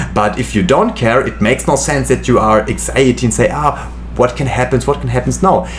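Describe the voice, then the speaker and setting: A man with a German accent at a fairly quick pace, amid noticeable background noise. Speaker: medical student and youtuber. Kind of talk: casual chat. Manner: halting.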